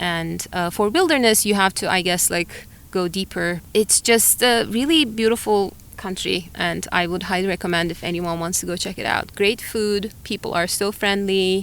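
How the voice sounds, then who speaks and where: This woman has a Turkish accent. She talks at a moderate pace with ordinary pitch variation. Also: medium pitch for a woman. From Turkey, Antalya. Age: 40s. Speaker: biologist and climber. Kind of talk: interview conversation. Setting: outdoors on a hilltop. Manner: hesitant, many fillers.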